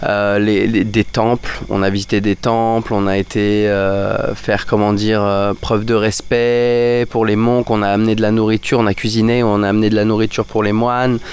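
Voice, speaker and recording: A man with a fairly low pitch talks at a moderate pace with hardly any pauses, his loudness very even. His intonation is monotone and flat, with noticeable background noise behind him. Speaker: teacher and expat podcaster. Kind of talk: casual podcast monologue. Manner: hesitant, many fillers and repetitions.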